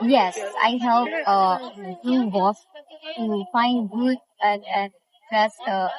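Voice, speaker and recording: A woman talks at a very slow pace with a non-native accent. Her fairly high pitch shows ordinary variation. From Philippines. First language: Filipino. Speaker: travel assistant. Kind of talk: interview. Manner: halting, repeats words.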